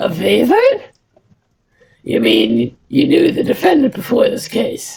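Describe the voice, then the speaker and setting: A raspy, put-on character voice moves at a fairly slow pace. Long, frequent pauses break up the speech. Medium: game stream. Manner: warm, composed.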